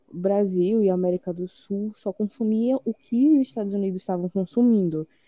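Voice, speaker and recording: A woman's unremarkable speaking voice at medium pitch, with ordinary pitch variation. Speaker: podcast co-host. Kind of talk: casual chat.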